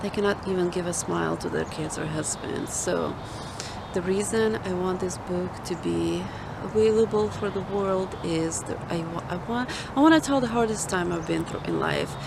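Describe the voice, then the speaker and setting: Moderate pace from a woman, with audible room echo and noticeable background noise. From Ukraine. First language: Ukrainian or Russian. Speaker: author and ministry founder. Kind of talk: personal testimony. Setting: outdoors in a park.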